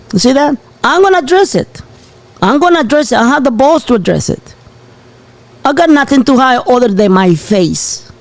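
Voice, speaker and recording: A man talks at an extremely high pitch with very wide pitch swings and long, frequent pauses. Noticeable background noise is present. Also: moderate pace, very even loudness. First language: Spanish. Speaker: channel host. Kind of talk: live show commentary. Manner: animated.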